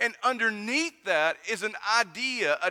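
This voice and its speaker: In a Southern Appalachian accent, a man projects a raised voice at a fairly slow pace, high in pitch, bright and sharp in tone, with lively intonation. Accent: Southern Appalachian (says 'et' for 'at'). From US South, East Tennessee mountains. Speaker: pastor. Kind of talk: sermon.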